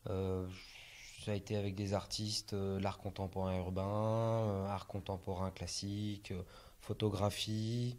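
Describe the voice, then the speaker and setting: This man talks at a very slow pace with a very deep, low pitch. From France, Brittany (Morbihan). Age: 30s. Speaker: street artist. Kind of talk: interview. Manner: hesitant, many fillers.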